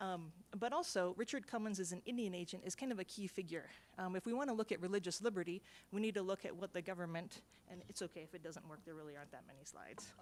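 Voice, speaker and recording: Speaking very fast, a woman with an American accent makes big swings in loudness. Her pitch sits in the medium range. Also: ordinary pitch variation. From US East. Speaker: historian. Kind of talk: conference presentation.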